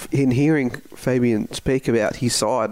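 This man speaks with an Australian accent. His pitch sits in the medium range. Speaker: podcast host and football caller. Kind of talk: sports podcast discussion.

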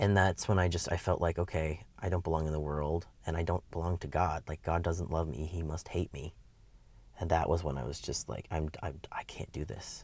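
At a moderate pace, a man with an American accent speaks in a very deep, low voice with vocal fry and fairly even intonation, in a very clean recording with a silent background. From US Midwest, Wisconsin. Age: 20s. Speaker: interviewee sharing life story. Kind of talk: interview, personal testimony. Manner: hesitant, many fillers.

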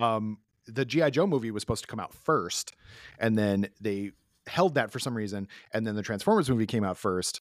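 An ordinary speaking voice at a fairly quick pace, with ordinary pitch variation and a dry, close sound with no echo, on a very clean recording with a silent background. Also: man. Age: 30s. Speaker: podcast host. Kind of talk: casual chat.

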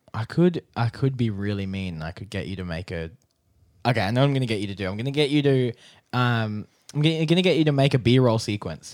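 Talking at a very fast pace with lively intonation, a man is heard on a very clean recording with a silent background. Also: medium pitch for a man. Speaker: podcast host. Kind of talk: news reading; casual chat. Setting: studio. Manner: news-anchor style delivery.

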